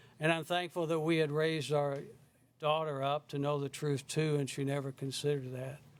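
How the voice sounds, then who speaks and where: A man speaks fairly quickly with a Southern US accent. His fairly high voice stays in a flat monotone. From South Carolina. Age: 70s. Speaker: member of the public giving testimony. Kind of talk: public testimony. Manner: halting.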